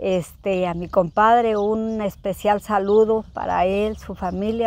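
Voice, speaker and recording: Recorded with a dry sound and no echo, a woman speaks with fairly even intonation. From Zacatecas, Mexico (rural, near Jerez); Zacatecas, Mexico. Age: 60s. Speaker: rural homemaker; interviewee. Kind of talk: interview. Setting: at her home, rural village. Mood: warm, nostalgic. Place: farm machine.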